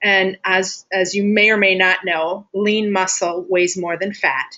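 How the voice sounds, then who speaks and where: A woman with a plain, everyday voice, medium pitch and ordinary pitch variation, in an American accent. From Wisconsin, US Midwest. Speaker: health and fitness coach. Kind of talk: live group coaching call.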